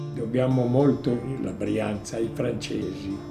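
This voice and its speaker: Music can be heard behind the voice. The words come at a fairly slow pace. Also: man. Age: 80s+. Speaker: woodworking craftsman. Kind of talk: interview answer.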